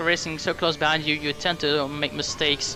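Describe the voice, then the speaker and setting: A man's fairly high-pitched voice with a non-native accent at a fairly quick pace, music in the background. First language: not English. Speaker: sim racing gamer. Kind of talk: game commentary.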